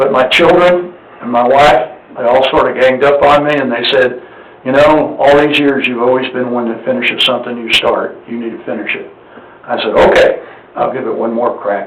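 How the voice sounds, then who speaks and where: Audible room echo and noticeable background noise surround a man's medium-pitched voice. He talks at a moderate pace with fairly even intonation. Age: 70s. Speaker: appraisal district board member seeking nomination. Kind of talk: public meeting presentation. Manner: halting, frequent fillers.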